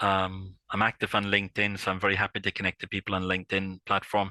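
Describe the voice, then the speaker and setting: In a strong Irish accent, a man with a very deep, low pitch and a bright, sharp tone speaks at a fairly quick pace in a monotone, flat intonation, recorded dry and close with no echo. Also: very clean recording, silent background. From Ireland. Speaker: IP consultant. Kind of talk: podcast interview. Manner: hesitant, many fillers and repetitions.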